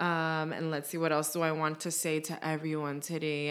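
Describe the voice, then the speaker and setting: Her pitch fairly low, a woman with an American accent speaks at a moderate pace. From New York City (Bronx). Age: 20s. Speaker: podcast co-host. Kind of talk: casual chat.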